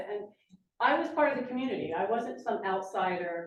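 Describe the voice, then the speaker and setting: A woman speaks at a fairly quick pace with an American accent. Room echo is audible. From New Jersey, Lambertville. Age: 60s. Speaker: public commenter and realtor. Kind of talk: public comment at council meeting. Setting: council meeting chamber.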